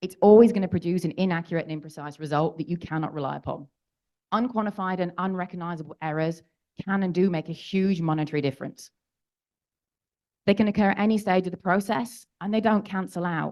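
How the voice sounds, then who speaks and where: Talking at a very fast pace, a woman has a fairly low pitch, a dark, mellow tone and ordinary pitch variation. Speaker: geologist giving a conference talk. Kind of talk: lecture.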